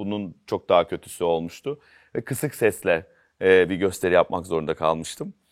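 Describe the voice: A man's hoarse, put-on character voice at a very deep, low pitch and moderate pace, on a very clean recording with a silent background.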